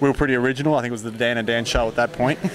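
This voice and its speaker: A man with an Australian accent, fairly even intonation, and noticeable background noise. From Western Australia. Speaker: horse trainer. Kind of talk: casual interview. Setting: horse expo event, Canada.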